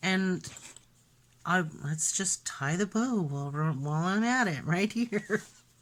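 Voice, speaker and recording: A woman talks very slowly, her medium-pitched voice moving with lively intonation. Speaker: crafter showing a handmade journal. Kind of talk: craft flip-through tutorial. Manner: casual, chatty.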